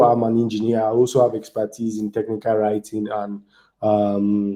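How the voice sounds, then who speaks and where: A man speaks with a Nigerian accent. His tone is dark and mellow, and his pace is moderate. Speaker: DevOps engineer and community speaker. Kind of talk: online tech talk.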